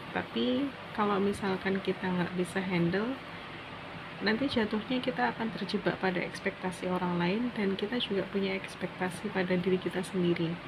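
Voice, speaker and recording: A soft-spoken woman at a medium pitch, with ordinary pitch variation and very even loudness, over noticeable background noise. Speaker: student vlogger. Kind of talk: personal monologue vlog. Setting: dormitory room at night. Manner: slow.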